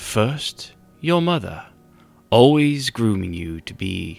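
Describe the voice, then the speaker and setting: In a put-on character voice, a man speaks slowly-ish at a medium pitch, with a fairly slow pace. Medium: read story. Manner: measured, formal.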